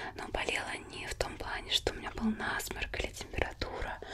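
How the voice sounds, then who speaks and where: Whispering comes from a woman at a moderate pace. Noticeable background noise is audible too. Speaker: ASMR creator. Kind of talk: ASMR whisper talk to camera with triggers. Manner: whispered, soft, intimate.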